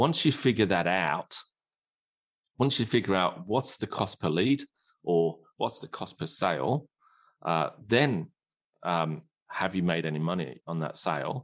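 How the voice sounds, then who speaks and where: This man's voice is very deep and low, with an Australian accent and very wide pitch swings. He leaves long, frequent pauses against a quiet background. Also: fairly slow pace. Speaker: digital marketing strategist. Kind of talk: casual interview.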